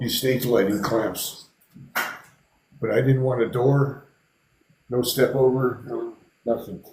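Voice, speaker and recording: Very slow delivery with long, frequent pauses, fairly even intonation, and audible room echo. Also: man, medium pitch for a man. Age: 60s. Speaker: artist and builder. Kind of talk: casual chat.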